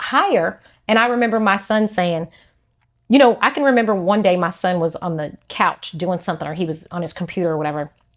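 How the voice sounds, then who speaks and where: Against a quiet background, a woman speaks at a fairly quick pace. Her intonation is lively, and she has an unremarkable speaking voice. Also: medium pitch for a woman. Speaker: podcast host. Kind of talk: casual chat.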